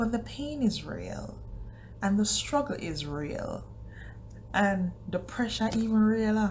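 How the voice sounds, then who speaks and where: The speech comes at a very slow pace with long, frequent pauses, against noticeable background noise. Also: woman. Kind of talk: casual talk to camera.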